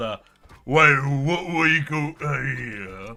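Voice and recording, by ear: A raspy, put-on character voice. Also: man, fairly high pitch for a man.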